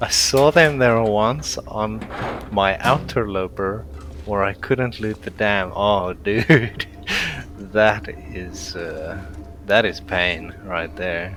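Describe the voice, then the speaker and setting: Against noticeable background noise, a man with a fairly low pitch speaks at a very slow pace. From South Africa. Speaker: gaming streamer. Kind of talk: live gameplay commentary. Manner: flat intonation; casual, with many fillers.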